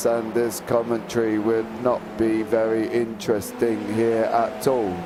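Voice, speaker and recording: Over loud background noise, a man puts on a character voice at a medium pitch. His pace is fairly slow. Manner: mechanical.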